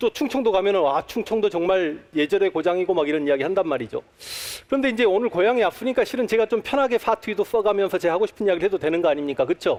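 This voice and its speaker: Speaking very fast with lively intonation, a man talks at a high pitch and very even loudness. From Honam (Jeolla region), Korea. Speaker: history lecturer. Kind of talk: public lecture. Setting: stage with audience at a talk concert.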